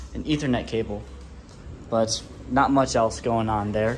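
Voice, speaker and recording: At a fairly slow pace and with ordinary pitch variation, a man talks as light background noise sits underneath. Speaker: student vlogger. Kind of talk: casual vlog chat. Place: hall. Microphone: phone near.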